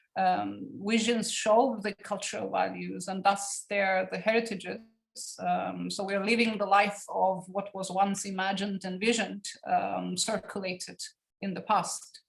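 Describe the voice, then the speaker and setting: In a Turkish Cypriot accent, a woman talks at a fairly slow pace. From Cyprus (Turkish Cypriot community). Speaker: academic researcher. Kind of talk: academic seminar lecture. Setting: online seminar. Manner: halting, many fillers.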